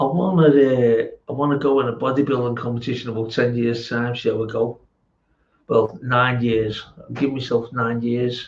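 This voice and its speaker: A man's somewhat breathy voice at medium pitch, with fairly even intonation and a moderate pace. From England. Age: 60s. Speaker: amateur bodybuilder vlogger. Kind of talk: casual chat. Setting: home gym. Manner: halting.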